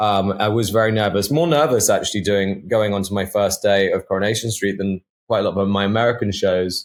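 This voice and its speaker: With a southern English accent, a man talks at a fairly quick pace with hardly any pauses, his pitch fairly low. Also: ordinary pitch variation, very clean recording, silent background. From England, Devon. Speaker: actor. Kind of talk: interview.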